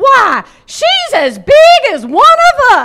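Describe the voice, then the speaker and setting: A put-on character voice, squeaky and extremely high, with very wide pitch swings at a very slow pace. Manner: cackling.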